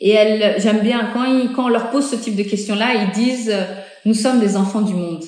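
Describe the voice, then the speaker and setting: A woman with a fairly high pitch and ordinary pitch variation is heard over noticeable background noise and audible room echo. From Benin, Cotonou area. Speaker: interviewee. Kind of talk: interview. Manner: hesitant, many fillers.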